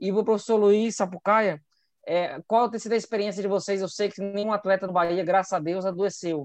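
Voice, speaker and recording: A man with a high pitch at a fairly quick pace, fairly even in intonation, against a quiet background. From Brazil, Ceará. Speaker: epidemiologist. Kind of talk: casual chat.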